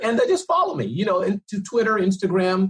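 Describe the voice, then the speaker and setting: The voice is somewhat breathy, with an energetic tone and a very fast pace. The sound is dry and close, with no echo. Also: man. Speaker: entrepreneur and speaker. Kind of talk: podcast interview. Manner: unpolished, energetic.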